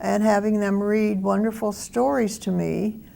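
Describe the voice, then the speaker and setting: This woman's voice sits at a medium pitch and has a dark, mellow tone. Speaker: oral history interviewee. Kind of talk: life story interview. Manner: halting, many fillers.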